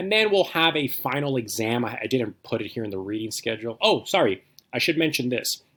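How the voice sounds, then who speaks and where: A man with a medium-pitched voice is heard on a very clean recording against a silent background. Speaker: philosophy instructor. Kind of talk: course introduction lecture. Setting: recorded video lecture. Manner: fast; casual, filler-heavy.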